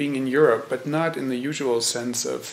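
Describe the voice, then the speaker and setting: A man with a German accent speaks at a fairly slow pace, with noticeable background noise and audible room echo. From Germany. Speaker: Zen teacher. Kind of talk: dharma talk. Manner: hesitant, many fillers.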